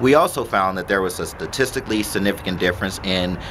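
A man's very deep, low voice with ordinary pitch variation over noticeable background noise. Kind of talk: interview answer.

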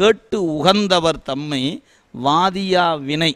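Ordinary pitch variation in a plain, everyday voice. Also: man. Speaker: Shaiva devotional teacher giving a discourse. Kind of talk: devotional discourse, speech to an audience answering a question. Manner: explanatory, conversational yet reverent.

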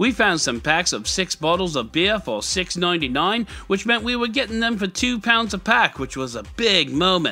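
A man's put-on character voice in an English accent, high-pitched for a man, with a bright, sharp tone, big pitch swings, few pauses and a moderate pace

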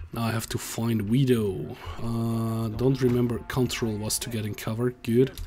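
A man's medium-pitched monotone with flat intonation, at a moderate pace, amid noticeable background noise. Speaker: gaming YouTuber. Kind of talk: let's play commentary.

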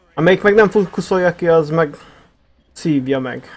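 A man uses a normal speaking voice, keeping a moderate pace and ordinary pitch variation. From Hungary. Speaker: gaming streamer. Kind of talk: casual chat while gaming.

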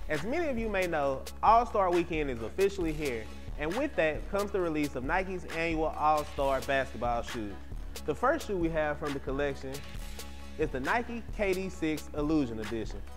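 A man speaks at a moderate pace while music is clearly heard behind him. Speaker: sneaker show host. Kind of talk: product review presentation. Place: studio. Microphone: lapel.

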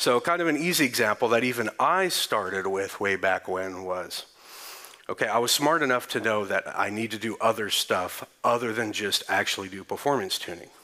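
With lively intonation, a man talks at a moderate pace as the background stays quiet. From Texas. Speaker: conference speaker. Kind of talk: conference talk. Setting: stage with audience.

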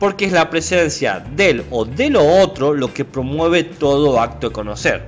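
A man speaks at a fairly slow pace in a fairly high pitch, with hardly any pauses and music playing in the background. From San Juan, Argentina. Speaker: philosophy of science podcaster. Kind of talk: casual educational podcast talk. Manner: effusive.

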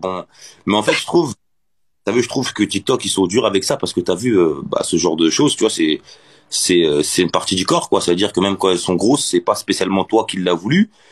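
Against a quiet background, a man talks at a fairly quick pace in a plain, everyday voice, fairly low in pitch with ordinary pitch variation. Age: 20s. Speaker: TikTok live streamer; live streamer. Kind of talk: casual chat. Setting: TikTok live video call. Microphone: phone near.

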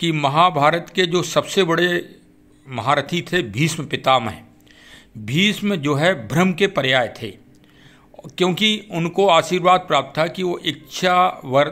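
Pausing long and often, a man talks in a bright, sharp tone at a high pitch with ordinary pitch variation. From Bundelkhand, Uttar Pradesh (Orai). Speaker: YouTuber, police perspective commentator. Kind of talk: monologue talk / commentary. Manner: formal.

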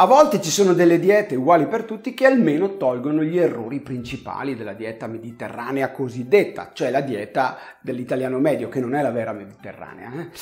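A man speaks at a fairly quick pace with lively intonation. His pitch is fairly high, and his loudness swings widely. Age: 50s. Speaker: health channel host. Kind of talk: direct-to-camera video monologue. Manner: conversational.

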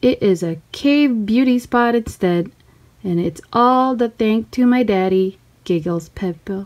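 An unforced reading voice is heard.

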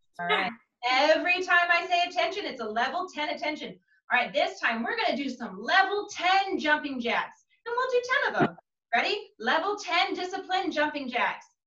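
A woman speaks at a moderate pace in a raised, projected voice. Audible echo fills the room. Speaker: martial arts instructor. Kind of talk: class instruction. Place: home room. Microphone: video call.

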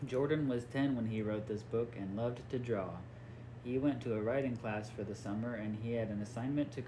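Here we hear a natural reading voice.

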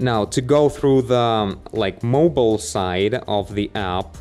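Faint music plays behind a man's voice. He speaks at a very slow pace. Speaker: tech reviewer. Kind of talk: tutorial. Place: home room. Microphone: studio mic.

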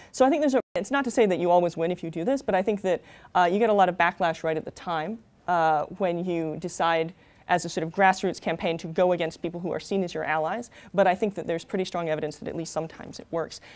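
A woman with a fairly low pitch speaks very fast with ordinary pitch variation. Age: 30s. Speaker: author and political researcher. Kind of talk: panel presentation with slides. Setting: stage with audience. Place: classroom.

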